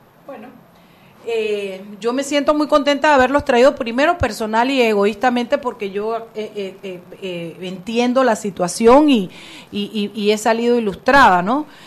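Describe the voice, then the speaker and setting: Over noticeable background noise, a woman speaks fairly slowly at a fairly high pitch with ordinary pitch variation. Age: 50s. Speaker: radio host. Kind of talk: casual chat; interview.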